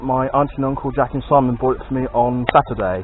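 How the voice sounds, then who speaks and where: A man talks at a fairly quick pace. The sound is dry with no echo, over light background noise. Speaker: toy collector vlogger. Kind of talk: casual vlog chat. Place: shop. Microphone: phone near.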